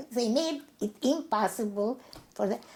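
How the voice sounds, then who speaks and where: Her fairly high voice is somewhat breathy, with a dark, mellow tone, lively intonation and a fairly slow pace. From Transylvania, Romania. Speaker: Holocaust survivor. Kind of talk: interview answer.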